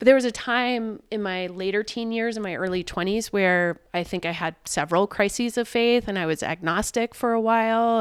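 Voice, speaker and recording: An ordinary speaking voice with an American accent moves at a moderate pace with ordinary pitch variation, captured in a dry, close sound with no echo on a very clean recording with a silent background. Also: woman. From US South (Richmond, Virginia). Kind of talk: casual interview chat. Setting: at home kitchen table.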